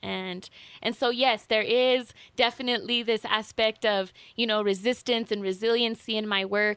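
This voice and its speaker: Monotone and flat, a woman speaks at a fairly high pitch and a moderate pace. The recording is very clean, with a silent background. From northern New Mexico, Taos. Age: 20s. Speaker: water rights advocate and poet. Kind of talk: radio interview. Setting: radio studio.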